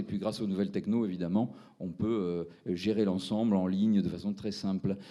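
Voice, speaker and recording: Speaking in a Toulouse accent, the man has a fairly low pitch and a dark, mellow tone. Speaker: fintech entrepreneur presenting his platform. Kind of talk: round-table presentation. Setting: seminar with audience. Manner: hesitant, many fillers.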